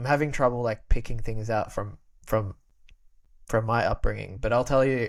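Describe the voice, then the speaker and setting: In a very clean recording with a silent background, a man speaks at a medium pitch. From Australia, Albanian immigrant family. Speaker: podcast guest, creator. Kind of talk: casual chat. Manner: halting, many repetitions.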